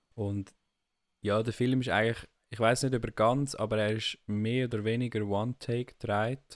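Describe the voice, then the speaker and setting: Speaking in a Swiss accent, a man keeps a monotone, flat intonation. The recording is very clean, with a silent background. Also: medium pitch for a man, moderate pace. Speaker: podcast co-host. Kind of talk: casual chat.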